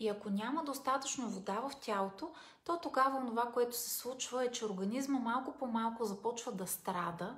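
Audible room echo surrounds a woman's voice. She talks at a moderate pace with ordinary pitch variation. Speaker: self-help vlogger. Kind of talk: casual advice talk. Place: home room. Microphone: phone near.

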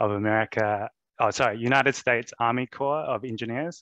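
A man with a New Zealand accent speaks at a medium pitch against a quiet background. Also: dry sound with no echo. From New Zealand (Wellington). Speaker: presenter. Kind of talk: presentation. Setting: video call. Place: home room. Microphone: headset.

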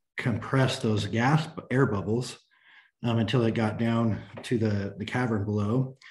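In a quiet background, a man with an American accent talks at a moderate pace in a fairly low, somewhat breathy voice with fairly even intonation. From US West, Sacramento, California; California. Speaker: mechanical engineer. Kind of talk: technical presentation. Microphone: video call.

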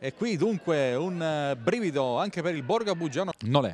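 His pitch swings very widely as this man speaks. The tone is animated. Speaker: sports commentator. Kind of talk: live sports commentary. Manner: rapid-fire, breathless play-by-play, rising in excitement on big chances; animated, emphatic, quick name-by-name delivery.

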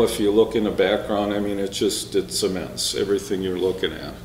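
A man speaking amid light background noise and audible room echo. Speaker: presenter. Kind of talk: slide talk presentation. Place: hall.

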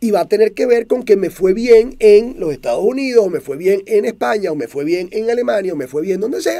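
A man with a Venezuelan accent, high-pitched for a man, with a dark, mellow tone, lively intonation, a fairly quick pace and hardly any pauses, against a quiet background. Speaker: motivational speaker. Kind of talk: monologue talk show. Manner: clear and direct. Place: studio. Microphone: studio mic.

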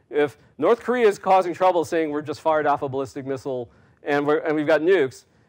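Here a man talks at a fairly high pitch and a fairly quick pace. The background is quiet. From US, New York City. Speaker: national security scholar; guest lecturer. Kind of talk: lecture. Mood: relaxed, smiling, anecdotal. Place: hall. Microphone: lapel.

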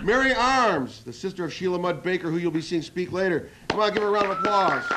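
A man talks at a very fast pace against loud background noise. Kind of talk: formal club meeting opening speech. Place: studio. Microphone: podium.

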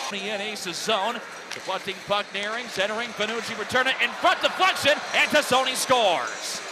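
A man's high voice moves at a moderate pace with lively intonation, noticeable background noise audible throughout. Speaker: hockey play-by-play announcer. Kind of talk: live hockey play-by-play commentary. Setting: highlight video montage of game calls. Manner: excited, rising call on goals.

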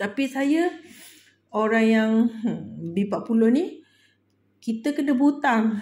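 Very slowly, a somewhat breathy woman speaks with lively intonation. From Malaysia. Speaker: budgeting vlogger. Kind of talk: casual vlog tutorial. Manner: giggly, frequent laughter; halting, many fillers. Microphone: phone near.

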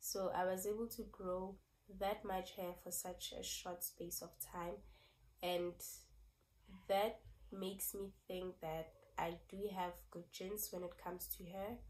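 Speaking at a fairly slow pace, a woman with a medium pitch keeps a monotone, flat intonation and leaves long, frequent pauses. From South Africa. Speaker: beauty vlogger. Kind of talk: casual vlog talk.

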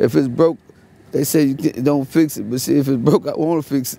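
With an American accent and a dark, mellow tone, a man speaks at a fairly high pitch and a fairly quick pace, with ordinary pitch variation and dry sound with no echo. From Fort Worth, Texas. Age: 30s. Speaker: homeless man interviewed on street. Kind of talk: street interview. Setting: outdoors. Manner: halting; laid-back. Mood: relaxed storytelling. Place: street.

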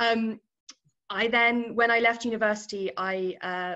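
Her voice is bright and sharp in tone, with a British accent and ordinary pitch variation. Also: quiet background. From UK. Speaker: infrastructure investment professional. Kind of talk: career talk interview. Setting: video call. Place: office. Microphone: webcam.

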